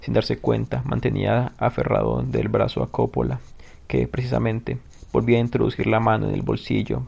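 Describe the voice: Straightforward reading aloud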